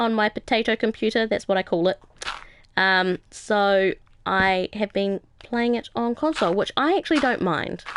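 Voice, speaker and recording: A woman speaks at a fairly high pitch and a moderate pace. Her pitch varies in an ordinary way and her loudness stays very even. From New Zealand. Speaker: gaming live streamer. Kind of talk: casual live stream chat. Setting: live stream. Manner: hesitant, many fillers.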